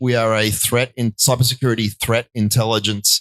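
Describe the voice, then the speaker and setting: A man with an Australian accent speaks at a medium pitch and moderate pace, his tone bright and sharp and his intonation monotone and flat. The recording is very clean and dry, close-sounding with no echo and a silent background. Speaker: tech executive and entrepreneur. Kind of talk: panel discussion.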